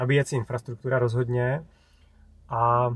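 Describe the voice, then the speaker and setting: At a moderate pace, a man with a medium pitch talks in a somewhat breathy voice with fairly even intonation. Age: 40s. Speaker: YouTuber on electric cars. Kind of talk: interview. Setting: in a car.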